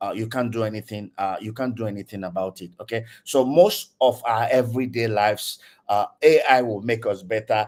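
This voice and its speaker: A man with a Nigerian accent. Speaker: tech community speaker. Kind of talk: online lecture. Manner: hesitant, many fillers.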